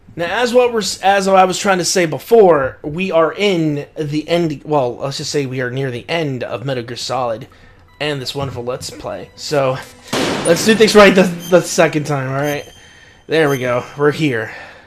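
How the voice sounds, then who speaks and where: With music in the background, a man talks at a moderate pace in a fairly high voice, his intonation lively and his loudness swinging widely. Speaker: gaming streamer. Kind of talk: let's play commentary. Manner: halting.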